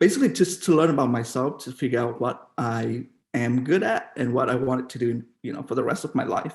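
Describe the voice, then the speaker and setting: A man speaks in a medium pitch with ordinary pitch variation. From Vietnam. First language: Vietnamese. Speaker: keynote speaker, industry scientist. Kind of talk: keynote talk. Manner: frequent fillers and hesitations.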